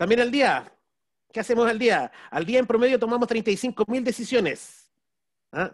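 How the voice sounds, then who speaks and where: An extremely high male voice with ordinary pitch variation over a quiet background. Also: fairly slow pace. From Chile. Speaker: business strategy consultant and speaker; speaker. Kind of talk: webinar talk. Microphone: video call.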